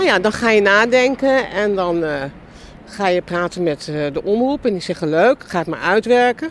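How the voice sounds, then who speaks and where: This woman has an ordinary speaking voice, pitched in the middle range and delivered at a moderate pace. Her intonation is lively. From Netherlands, Amsterdam. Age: 60s. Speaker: film and TV director and producer. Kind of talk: casual interview on a walk. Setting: outdoors, walking in a park.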